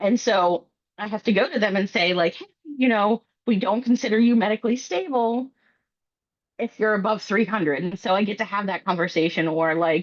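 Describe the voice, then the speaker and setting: Here a woman speaks at a fairly high pitch. Her pitch varies in an ordinary way. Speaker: clinical therapist. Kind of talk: lecture. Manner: fast.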